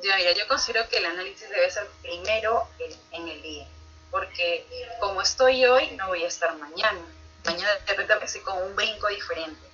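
Over noticeable background noise, a woman speaks at a moderate pace with big swings in loudness. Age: 30s. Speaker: life coach. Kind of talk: interview.

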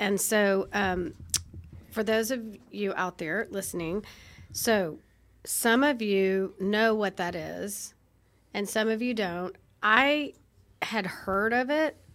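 On a very clean recording with a silent background, a woman of medium pitch speaks at a very slow pace, with ordinary pitch variation and long, frequent pauses. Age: 50s. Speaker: podcast co-host. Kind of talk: casual chat. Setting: studio.

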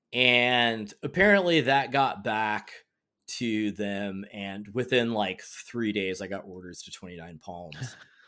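Speaking very slowly, a man uses a fairly low pitch with ordinary pitch variation and a bright, sharp tone. His loudness swings widely on a very clean recording with a silent background. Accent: American. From North Carolina. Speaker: Marine veteran, former counter-intelligence. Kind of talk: casual interview chat.

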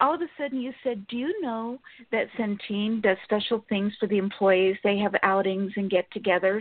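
Using an ordinary speaking voice, the speaker keeps a moderate pace and ordinary pitch variation. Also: woman, medium pitch for a woman. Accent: American. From California, US. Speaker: caller. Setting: phone call.

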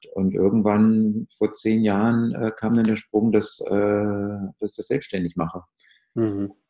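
A man's fairly low, dark and mellow voice at a fairly slow pace. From Ruhr area, Germany. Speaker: musician and audio branding consultant. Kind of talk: casual interview.

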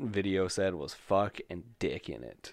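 A man's voice with a dark, mellow tone. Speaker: podcast host. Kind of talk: casual banter, comedic chat. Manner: profane, joking, rambling.

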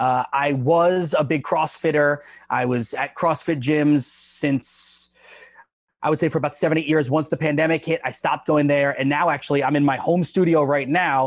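A man's fairly high pitch with a Long Island accent, fairly even intonation and very even loudness. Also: moderate pace. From New York, Long Island. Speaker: sports broadcaster. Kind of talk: casual chat. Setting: home studio.

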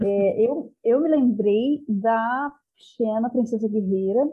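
Pitched fairly high, a woman talks in a plain, everyday voice with ordinary pitch variation. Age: 30s. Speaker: university student. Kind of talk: casual discussion.

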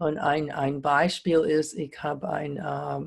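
A woman at a very slow pace, her pitch very deep and low, her intonation fairly even. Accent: American. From US New England. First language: English (speaking German). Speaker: communication trainer. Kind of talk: interview. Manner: halting, many fillers.

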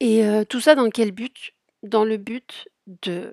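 A woman talks in a fairly high pitch. The sound is dry and close, with no echo. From Saint-Étienne, France. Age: 30s. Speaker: sophrologist and therapist podcaster. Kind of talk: casual solo podcast monologue. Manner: spontaneous, hesitant with fillers.

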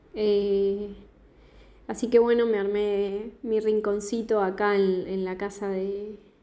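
A woman talks at a very slow pace in a medium pitch, her tone dark and mellow. Her intonation stays monotone and flat, with audible room echo. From southern Patagonia, Argentina (Chubut). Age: 20s. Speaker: podcast contributor sending a voice message. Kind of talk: recorded voice testimony.

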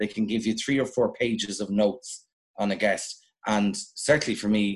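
A man speaks with an Irish accent. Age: young. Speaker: radio broadcaster and journalist. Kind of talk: casual chat.

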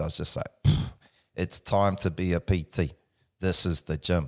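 A man's very deep, low voice with a New Zealand accent, fairly quick and fairly even in intonation, in a very clean recording with a silent background and a dry, close sound free of echo. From New Zealand, Palmerston North. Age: 40s. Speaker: personal trainer. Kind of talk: casual chat.

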